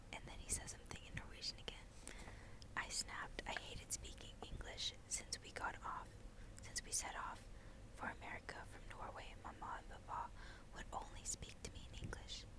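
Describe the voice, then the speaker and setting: A woman whispers at a moderate pace over noticeable background noise. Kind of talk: novel read aloud. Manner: whispered.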